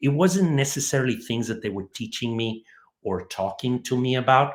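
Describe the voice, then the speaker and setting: A man speaks with a Spanish accent at a moderate pace. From Mexico City. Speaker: home builder, entrepreneur. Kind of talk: interview. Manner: halting.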